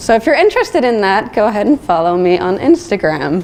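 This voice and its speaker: There is noticeable background noise. Over it, a woman speaks at medium pitch. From Switzerland. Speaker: designer. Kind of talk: conference talk. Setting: stage with audience.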